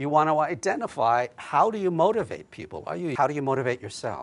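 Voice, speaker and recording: A man with a fairly high pitch speaks in a slight New Jersey accent. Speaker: psychologist and keynote speaker. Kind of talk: keynote talk.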